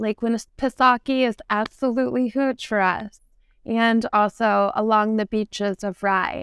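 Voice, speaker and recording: Fairly high in pitch, a woman with a normal speaking voice and an American accent talks at a fairly slow pace with fairly even intonation, in a very clean recording with a dry, close sound, no echo and a silent background. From New Hampshire seacoast, US. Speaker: real estate agent. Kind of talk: interview.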